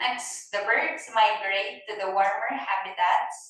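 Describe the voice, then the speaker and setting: A woman's medium-pitched voice at a very slow pace, with ordinary pitch variation and audible room echo. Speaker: ESL teacher. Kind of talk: classroom lesson.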